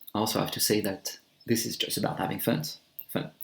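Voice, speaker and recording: Lively intonation in a man's voice of medium pitch. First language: French. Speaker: amateur electronic music maker, YouTuber. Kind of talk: casual vlog monologue. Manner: halting.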